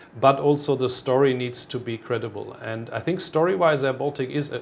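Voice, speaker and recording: With a German accent, a man talks at a moderate pace using ordinary pitch variation. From Germany. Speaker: airline executive. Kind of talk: interview. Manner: halting.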